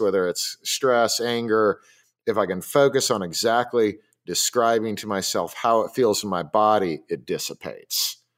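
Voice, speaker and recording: In a very clean recording with a silent background, a man with an ordinary speaking voice talks at a moderate pace in a medium pitch, with ordinary pitch variation. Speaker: podcast host. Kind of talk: casual chat.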